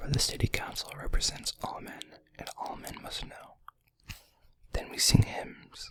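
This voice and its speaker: Whispering, a man talks at a fairly slow pace with long, frequent pauses. His loudness swings a lot. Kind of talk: read story. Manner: whispered.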